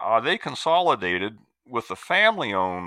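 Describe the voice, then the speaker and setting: Using an ordinary speaking voice, a man with an American accent talks at a moderate pace and medium pitch. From US Midwest, Iowa. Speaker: retired extension forester. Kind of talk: interview.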